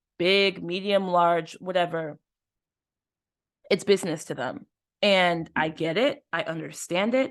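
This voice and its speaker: Against a quiet background, a woman with a normal speaking voice talks at a fairly slow pace. Her pitch is medium, with ordinary variation. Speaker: podcast host. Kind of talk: casual chat.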